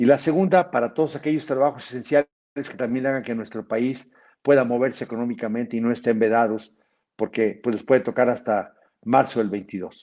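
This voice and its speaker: Against a quiet background, a man talks at a fairly quick pace. His medium-pitched voice has a dark, mellow tone. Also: ordinary pitch variation. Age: 60s. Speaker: physician and federal legislator. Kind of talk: webinar lecture.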